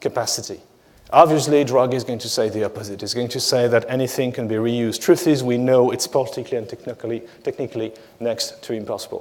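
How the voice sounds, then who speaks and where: A man's medium-pitched voice in a French accent, very fast, with ordinary pitch variation. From France. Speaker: economist. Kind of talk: conference talk. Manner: hesitant with many fillers.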